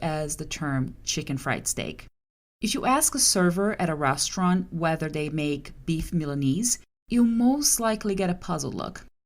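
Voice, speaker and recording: With a Portuguese accent, a woman speaks at a fairly low pitch and a moderate pace, her intonation lively. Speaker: translator and podcast host. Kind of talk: scripted podcast monologue.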